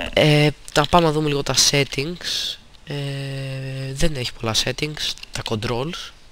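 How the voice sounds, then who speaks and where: A man's fairly high voice, very slow in pace, with fairly even intonation against noticeable background noise. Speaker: gaming youtuber. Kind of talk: game review with gameplay commentary. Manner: hesitant, frequent fillers.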